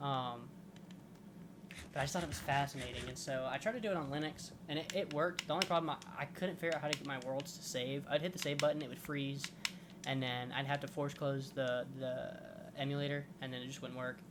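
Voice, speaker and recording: Fairly quick male speech, pitched fairly high, with ordinary rises and falls and clearly audible noise behind it. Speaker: gaming YouTuber. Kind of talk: casual gameplay commentary. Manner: rambling, halting.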